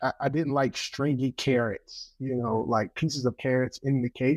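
A man with a North Carolina accent speaks at medium pitch in a monotone, flat intonation, the sound dry and close with no echo against a quiet background. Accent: US Southern (North Carolina). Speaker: barbecue pitmaster and cookbook co-author. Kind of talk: interview. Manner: halting.

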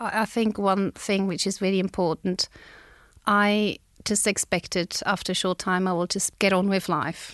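Against a quiet background, a woman with a non-native accent talks at a medium pitch in a monotone, flat intonation. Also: moderate pace, dry, close sound with no echo. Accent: foreign-accented English. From outside Australia. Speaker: bereaved parent. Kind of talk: testimony. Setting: studio.

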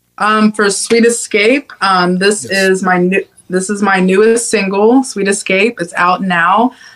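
A woman speaks in an American accent at a medium pitch and a fairly slow pace, with hardly any pauses. Her loudness stays very even and her intonation fairly even. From Ohio, Cincinnati. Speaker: singer-songwriter. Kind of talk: interview. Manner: hesitant, many fillers.

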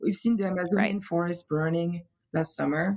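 A woman speaks with a French accent. Her pitch is medium, with ordinary variation. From France. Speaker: luthier. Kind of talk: casual interview chat.

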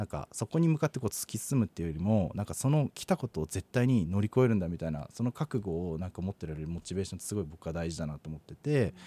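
A man talks at a very fast pace with hardly any pauses, his very deep, low voice dark and mellow with very wide pitch swings, recorded dry and close with no echo on a very clean, silent background. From Hokkaido, Kitami. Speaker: nonprofit director. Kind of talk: interview. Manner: hesitant, many fillers.

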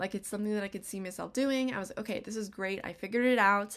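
A woman speaks with an American accent in an ordinary speaking voice, at medium pitch with ordinary pitch variation. The recording is very clean, with a silent background. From US West, Las Vegas, Nevada. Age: 20s. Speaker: podcast host. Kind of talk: casual solo monologue.

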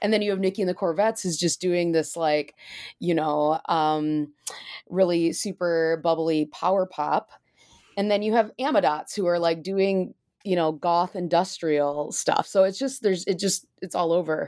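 Heard in a very clean recording with a silent background, a woman with an American accent speaks at a moderate pace in a fairly low pitch, with a dark, mellow tone and ordinary pitch variation. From Michigan, US Midwest. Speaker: author and musician. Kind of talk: interview. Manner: casual with many fillers.

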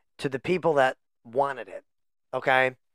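A man talks in an animated tone with a dry, close sound and no echo. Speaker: podcast co-host, play-by-play caller. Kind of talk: casual banter. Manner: animated, joking.

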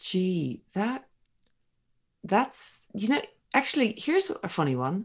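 A woman speaks very slowly with long, frequent pauses, in a fairly high voice with vocal fry. Her pitch swings very widely, and the recording is very clean with a silent background. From Ireland. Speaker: business founder, entrepreneur. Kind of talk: podcast interview.

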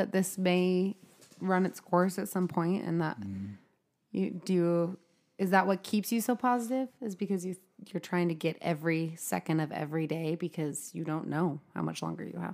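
A woman with an unremarkable speaking voice, fairly low pitch, ordinary pitch variation and a moderate pace, on a very clean recording with a silent background. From Utah. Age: 30s.

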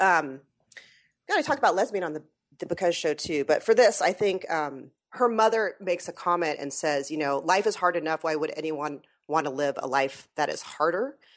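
A woman's normal speaking voice, a normal speaking voice at a fairly low pitch, with lively intonation at a moderate pace over a quiet background. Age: 40s. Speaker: podcaster. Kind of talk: casual chat. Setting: remote call with headset.

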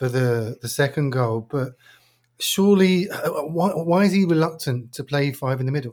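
On a very clean recording with a silent background, a man with a fairly high, somewhat breathy voice talks at a moderate pace with ordinary pitch variation. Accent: English. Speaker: football podcast host. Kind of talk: casual football chat. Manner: halting, repeats words.

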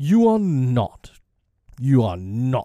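Medium pitch in a man's put-on character voice. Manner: frightened, disbelieving.

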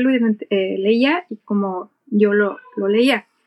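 A woman with a Mexican accent speaks with ordinary pitch variation, the sound dry and close with no echo. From Mexico. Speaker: airline captain and aviation English instructor. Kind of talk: interview.

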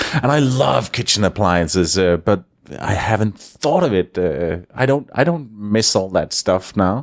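A man's fairly low voice with a Danish accent, lively intonation, very even loudness, and a fairly slow pace. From Denmark. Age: 50s. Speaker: radio consultant. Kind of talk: interview. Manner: halting.

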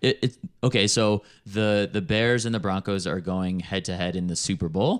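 With an American accent, a man speaks in an ordinary speaking voice at a fairly low pitch with ordinary pitch variation and a moderate pace. The sound is dry and close with no echo over a quiet background. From Chicago, US Midwest. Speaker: travel entrepreneur. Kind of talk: casual chat.

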